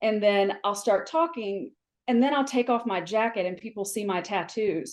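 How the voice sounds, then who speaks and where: Animated and lively in intonation, a woman with an American accent speaks at a medium pitch and moderate pace over a quiet background. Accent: Southern US, comes out when recently home. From US South. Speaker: flooring industry mentor. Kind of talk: podcast panel discussion.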